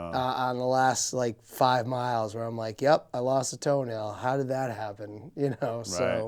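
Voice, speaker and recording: An ordinary speaking voice: a man at a medium pitch talks fairly slowly, with fairly even intonation and hardly any pauses. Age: 30s. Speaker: podcast host. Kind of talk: casual interview chat.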